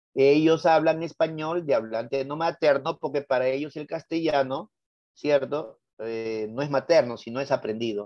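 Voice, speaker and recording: A man with a Lima accent talks at a moderate pace. His pitch is fairly high, with ordinary variation. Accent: Lima Peruvian Spanish. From Peru, Lima. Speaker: teacher. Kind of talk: lecture. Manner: animated.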